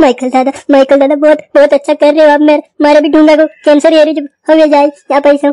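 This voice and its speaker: A high-pitched, put-on character voice with monotone, flat intonation. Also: moderate pace. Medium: machinima. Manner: haggling.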